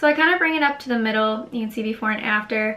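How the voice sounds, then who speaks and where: Noticeable background noise surrounds a woman whose voice has a fairly high pitch. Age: 20s. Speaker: beauty vlogger. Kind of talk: tutorial. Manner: casual.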